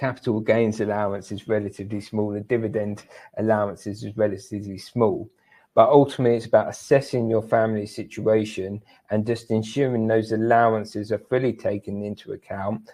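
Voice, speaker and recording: A fairly quick, dark, mellow voice with a British accent and a monotone, flat intonation. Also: man, fairly low pitch for a man. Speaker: tax specialist. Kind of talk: webinar presentation. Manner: fast.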